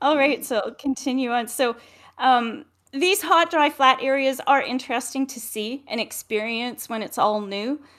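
The woman talks at a moderate pace with ordinary pitch variation. The recording is very clean, with a silent background. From Edmonton, Alberta, Canada. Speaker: motorcycle travel co-host. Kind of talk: casual chat.

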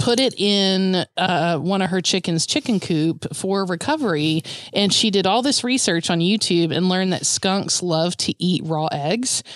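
A woman with a normal speaking voice, medium pitch, ordinary pitch variation, very even loudness and a moderate pace. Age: 40s. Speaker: podcast co-host. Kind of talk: casual chat. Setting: video call.

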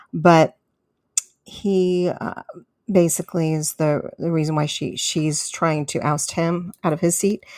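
A woman with an ordinary speaking voice and an American accent, fairly low in pitch, fairly even in intonation and fairly slow in pace, in a dry, close sound with no echo. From US West Coast, San Diego, California. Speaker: conservative radio host. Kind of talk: political talk radio monologue.

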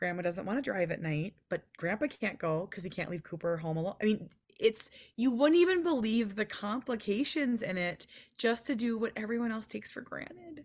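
A woman with an American accent speaks at a moderate pace in a fairly high, somewhat breathy voice. Her pitch swings very widely. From Minnesota. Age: 40s. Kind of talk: casual interview chat.

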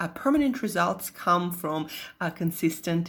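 A woman speaks with a Russian accent and lively intonation. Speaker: nutritionist podcast host. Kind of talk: solo podcast monologue. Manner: casual.

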